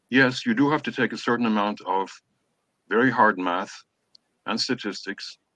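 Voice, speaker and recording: A man at medium pitch with ordinary pitch variation and a moderate pace, the sound dry and close with no echo. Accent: Irish. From Ireland. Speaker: professor. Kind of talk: orientation talk. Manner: hesitant with fillers.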